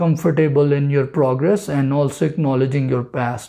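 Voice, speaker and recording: Against a quiet background, a man's fairly high voice has a dark, mellow tone. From Pakistan. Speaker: dentist giving interview advice. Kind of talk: advice talk to camera. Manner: casual, with hesitations.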